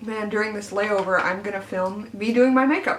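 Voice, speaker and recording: This woman speaks at a fairly high pitch and a moderate pace. Both audible room echo and noticeable background noise are present. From Arkansas, US South. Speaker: beauty YouTuber. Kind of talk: casual get-ready-with-me vlog. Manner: chatty with frequent fillers.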